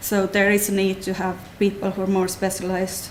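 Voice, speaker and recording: With a slight Finnish accent, a woman speaks at a medium pitch and a moderate pace, her intonation monotone and flat. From Finland. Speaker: clinical nurse specialist. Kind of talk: talk to patient audience.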